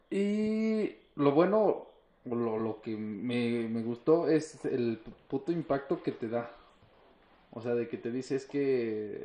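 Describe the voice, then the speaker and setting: Very slowly and with very wide pitch swings, a man speaks at a medium pitch in a Mexican accent. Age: 20s. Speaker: mechanical engineer. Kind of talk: casual chat. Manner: animated.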